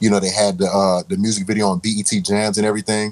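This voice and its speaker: A plain, everyday voice speaks fairly quickly with an American accent. The intonation stays fairly even, and the sound is dry and close with no echo. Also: man. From Raleigh, North Carolina. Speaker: music producer and DJ. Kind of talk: casual interview.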